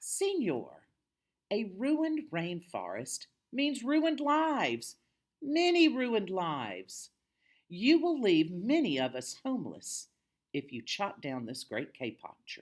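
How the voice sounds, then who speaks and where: In a squeaky, put-on character voice with a fairly high pitch, the speaker goes at a fairly slow pace in a very clean recording with a silent background. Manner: piping, pleading.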